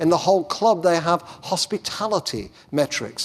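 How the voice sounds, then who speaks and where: Someone speaks with an English accent in a very clean recording with a silent background. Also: man. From England. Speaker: education professor giving keynote. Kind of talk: conference keynote.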